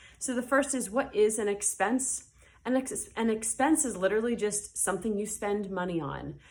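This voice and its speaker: A woman's fairly high voice with vocal fry, ordinary pitch variation and a moderate pace. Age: adult, parent. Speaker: high school teacher. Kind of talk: recorded lesson. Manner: casual, many fillers.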